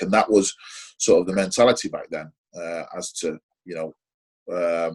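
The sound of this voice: A man talks with a low pitch and a slightly husky edge. His pitch varies in an ordinary way at a moderate pace.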